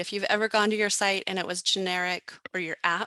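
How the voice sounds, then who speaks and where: A woman speaks at a very fast pace with a medium pitch and a bright, sharp tone. Her intonation is fairly even, and the sound is dry and close with no echo. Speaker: real estate software trainer. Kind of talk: online class tutorial. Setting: live webinar with chat. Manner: halting, many fillers.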